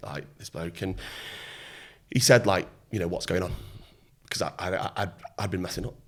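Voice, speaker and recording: Here a man talks with a British accent. His pace is fairly quick. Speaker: former Royal Marine, entrepreneur and mentor. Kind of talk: podcast interview answer. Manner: casual, conversational.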